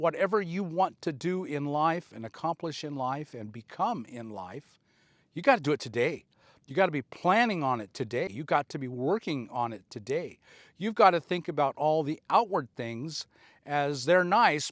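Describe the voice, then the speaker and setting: Against a quiet background in a dry, close recording with no echo, a man with a normal speaking voice talks at a moderate pace and fairly high pitch, with lively intonation and big swings in loudness. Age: 60s. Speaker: motivational speaker. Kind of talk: casual monologue. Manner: earnest.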